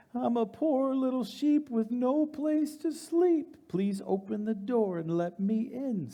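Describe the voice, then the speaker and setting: This man uses a put-on character voice pitched extremely high and speaks at a fairly slow pace. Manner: deceptively sweet, pleading.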